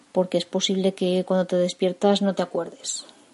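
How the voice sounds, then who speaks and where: Somewhat breathy with a dark, mellow tone, a woman speaks at a fairly quick pace. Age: 40s. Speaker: personal development podcaster. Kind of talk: guided reflection; motivational monologue.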